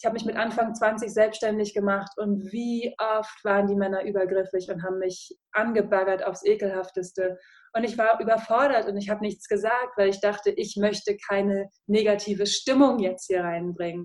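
In an ordinary speaking voice, a woman speaks at a medium pitch with fairly even intonation. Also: moderate pace. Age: 30s. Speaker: podcaster and former radio presenter. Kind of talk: casual interview.

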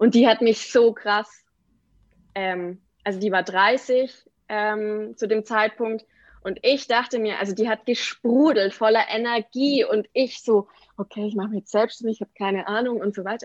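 Fairly high in pitch, a woman speaks at a fairly slow pace with fairly even intonation. She has an unremarkable speaking voice, and the sound is dry and close with no echo. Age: 20s. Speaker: entrepreneur and brand designer. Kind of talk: podcast interview. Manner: many filler words (ähm, genau).

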